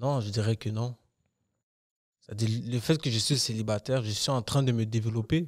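Medium-pitched male speech at a moderate pace, fairly even intonation, long and frequent pauses, dry sound with no echo. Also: quiet background. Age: 20s. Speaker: podcast co-host. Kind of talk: casual chat. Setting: studio. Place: studio. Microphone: studio mic.

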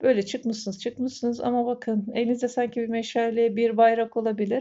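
A woman with a fairly high pitch speaks at a fairly quick pace in a monotone, flat intonation. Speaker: fortune teller. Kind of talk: coffee cup fortune reading to camera. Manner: hesitant filler-heavy.

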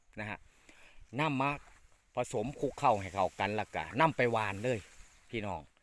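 A man talks at a medium pitch with ordinary pitch variation in an unremarkable speaking voice, captured on a very clean recording with a silent background. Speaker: farming channel host. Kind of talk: farming tutorial.

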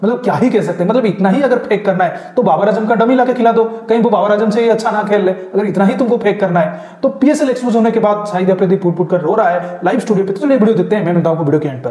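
Fast and with few pauses, a man speaks at a high pitch with ordinary pitch variation and a dark, mellow tone, while faint background noise sits underneath.

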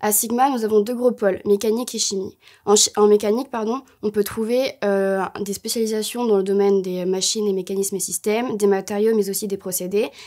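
A woman speaks in a monotone, flat intonation with a dark, mellow tone against a quiet background. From Bordeaux, southwest France; France. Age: 20s. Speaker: engineering student. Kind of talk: promotional interview. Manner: hesitant, many fillers. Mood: calm, slightly nervous. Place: studio.

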